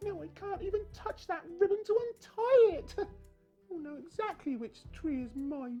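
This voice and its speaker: Someone uses a put-on character voice at a moderate pace, with faint music in the background. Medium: solo performance. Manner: sly, crafty.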